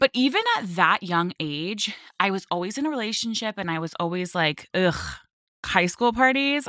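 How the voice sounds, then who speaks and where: Speaking in a Californian accent, a woman has a bubbly tone and lively intonation at a moderate pace. The sound is dry and close, with no echo. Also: medium pitch for a woman. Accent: Californian American. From Los Angeles (Westlake Village). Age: 20s. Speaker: model. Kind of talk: interview.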